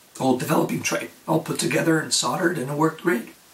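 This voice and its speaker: Against noticeable background noise, a man's pitch varies in an ordinary way as he talks. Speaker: darkroom photographer. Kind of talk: casual how-to talk to camera.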